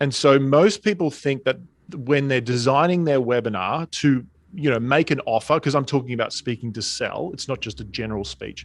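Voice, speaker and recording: Over a quiet background, a man with an Australian accent talks fairly quickly at medium pitch with ordinary pitch variation. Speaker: speaking and sales coach. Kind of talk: interview.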